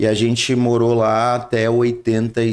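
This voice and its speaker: This is a man talking at a moderate pace. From southern Brazil, Rio Grande do Sul (São Leopoldo). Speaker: pastor. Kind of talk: interview testimony. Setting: studio. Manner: halting.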